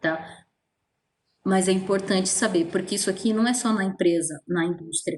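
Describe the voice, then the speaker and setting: A woman with a medium pitch and a somewhat breathy voice speaks at a moderate pace. Her intonation is fairly even and her loudness very even. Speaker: teacher. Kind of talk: online lecture. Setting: virtual class. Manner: casual.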